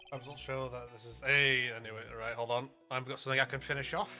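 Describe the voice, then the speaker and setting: Music plays behind a man speaking. His pace is fairly quick. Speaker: streamer. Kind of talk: casual chat. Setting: live stream.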